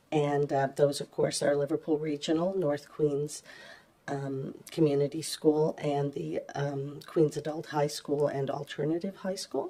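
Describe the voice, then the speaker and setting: A soft-spoken woman with a very deep, low pitch and a dark, mellow tone, monotone and flat in intonation, at a fairly slow pace. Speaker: municipal clerk and communications officer. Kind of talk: council meeting report. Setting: council chamber, in person. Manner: halting, many fillers.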